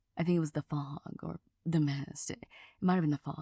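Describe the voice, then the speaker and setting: A soft-spoken, somewhat breathy woman with a very deep, low pitch, a dark, mellow tone and fairly even intonation, in a very clean, dry, close recording with no echo and a silent background. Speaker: ASMR creator. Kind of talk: soft-spoken ASMR ramble.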